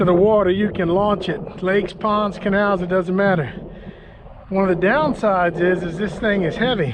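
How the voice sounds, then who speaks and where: A man talks while noticeable background noise runs behind him. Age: 60s. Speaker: kayak fishing youtuber. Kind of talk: product review. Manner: casual, conversational.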